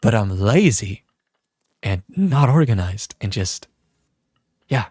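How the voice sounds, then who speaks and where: A man's somewhat breathy voice, fairly low in pitch, at a fairly slow pace, dry and close with no echo. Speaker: music producer and streamer. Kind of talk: casual livestream chat. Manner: halting, stumbling.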